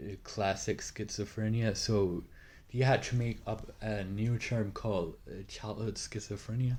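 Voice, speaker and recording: Fairly low, somewhat breathy male speech, its intonation fairly even. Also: fairly slow pace. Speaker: youtuber explaining a topic. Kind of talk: informal educational talk. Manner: halting, many fillers.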